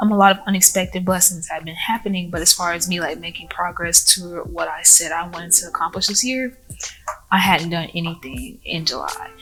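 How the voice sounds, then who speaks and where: Amid noticeable background noise, a woman with a fairly low pitch talks at a fairly quick pace with ordinary pitch variation. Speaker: lifestyle vlogger and entrepreneur. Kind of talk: casual vlog talk. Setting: library.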